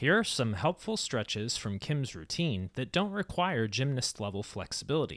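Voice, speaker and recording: A man's voice with very wide pitch swings, at a moderate pace with hardly any pauses, on a very clean recording with a silent background. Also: medium pitch for a man. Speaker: fitness video host. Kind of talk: documentary narration.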